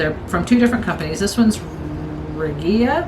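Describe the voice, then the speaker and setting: Medium-pitched female voice with audible room echo and noticeable background noise. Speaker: crafting vlogger. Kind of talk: casual haul video chat. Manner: hesitant, repeats words; chatty, informal.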